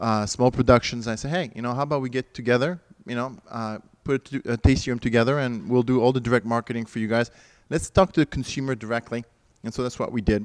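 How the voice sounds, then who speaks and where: In a French accent, a man talks at a very fast pace and medium pitch. The recording is very clean and the background silent. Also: ordinary pitch variation, dry, close sound with no echo. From France. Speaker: winery owner. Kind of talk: interview. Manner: halting.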